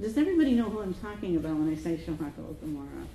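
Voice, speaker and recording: A woman is speaking with very wide pitch swings. Noticeable background noise runs underneath. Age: 70s. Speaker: Zen dharma teacher. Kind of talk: dharma talk. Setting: meditation center with audience. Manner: halting.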